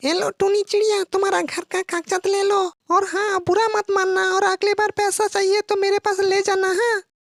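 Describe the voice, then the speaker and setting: A cartoonish character voice from a woman, pitched extremely high. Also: moderate pace. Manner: gruff, blunt.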